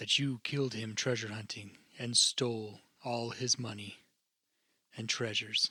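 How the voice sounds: At a moderate pace, a man puts on a character voice at medium pitch, monotone and flat, with long, frequent pauses.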